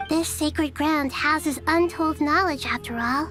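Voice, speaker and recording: Over clear background noise, a female-sounding put-on character voice with a high pitch speaks at a moderate pace. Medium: game stream. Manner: soft, friendly.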